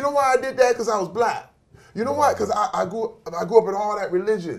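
Very fast male speech against quiet surroundings. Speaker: interview guest. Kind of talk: motivational speech. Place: studio.

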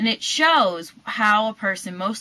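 A woman's bright, sharp voice carries lively intonation. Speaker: linguistics video presenter. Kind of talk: educational explainer to camera. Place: home room. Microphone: webcam.

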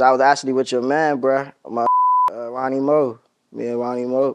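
Monotone and flat, a man talks at a fairly quick pace over a quiet background. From Maryland, Montgomery County (DC area); Maryland. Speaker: rapper; interview guest. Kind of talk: casual interview. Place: home room.

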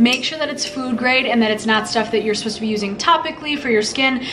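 A woman is speaking with ordinary pitch variation. Light background noise can be heard. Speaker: home cooking vlogger. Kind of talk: tutorial. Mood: cheerful and chatty. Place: kitchen. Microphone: camera far.

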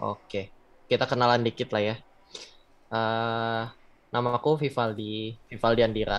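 A man's voice at medium pitch. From Bandung, West Java, Indonesia; West Java, Indonesia. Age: 20s. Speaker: backend developer; webinar presenter. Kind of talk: tutorial; lecture. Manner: casual. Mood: casual, friendly. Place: home room. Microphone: earbuds.

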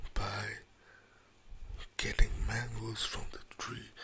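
Over noticeable background noise, the words come in a whisper at a very slow pace. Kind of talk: ASMR cooking tutorial. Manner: soft-spoken; relaxing.

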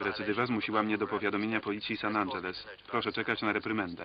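The speech runs at a very fast pace with very even loudness and monotone, flat intonation. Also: man, fairly low pitch for a man. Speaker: Polish film voice-over reader (lektor). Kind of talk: single-voice film translation read over the original soundtrack.

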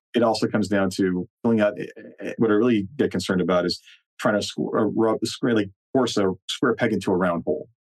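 With a fairly low pitch, ordinary pitch variation and very even loudness, a man talks in an unremarkable speaking voice, the sound dry and close with no echo. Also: fairly quick pace. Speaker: podcast host. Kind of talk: interview.

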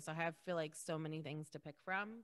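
A woman with a fairly low pitch talks at a fairly quick pace in a bright, sharp, animated tone with ordinary pitch variation. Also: quiet background. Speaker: podcast co-host. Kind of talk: casual chat. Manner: animated, laughs often. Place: home room. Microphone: studio mic.

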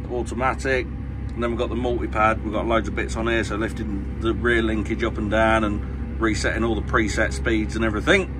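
Over clear music in the background, a man with a very deep, low voice talks at a fairly quick pace with hardly any pauses. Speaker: farmer driving tractor. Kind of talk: casual tutorial commentary. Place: farm machine.

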